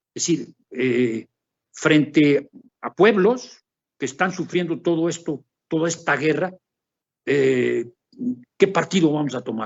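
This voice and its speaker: With very wide pitch swings, a man talks in a fairly high pitch. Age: 70s. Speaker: academic researcher. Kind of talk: conference Q&A answer. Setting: academic seminar. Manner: halting, many fillers and repetitions.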